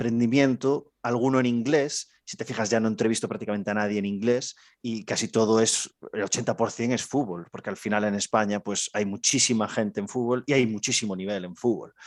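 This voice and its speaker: This man has an unremarkable speaking voice at a medium pitch. He goes at a fairly quick pace with fairly even intonation. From Galicia, Spain. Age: young. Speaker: basketball coach and fitness trainer. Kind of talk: casual interview. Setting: video call.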